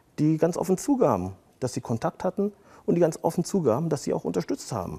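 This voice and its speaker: A man with a dark, mellow tone and vocal fry makes very wide pitch swings. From Germany, Siegerland (rural), child of Turkish immigrants. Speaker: lawyer. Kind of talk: interview. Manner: frequent fillers (äh, ja).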